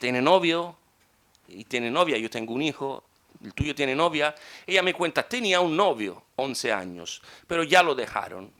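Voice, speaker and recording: A man with a fairly high pitch speaks in a bright, sharp tone with vocal fry, very wide pitch swings and big swings in loudness, on a very clean recording with a silent background. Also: moderate pace. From Italy. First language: Italian (speaking Spanish). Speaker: conference speaker. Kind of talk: conference talk.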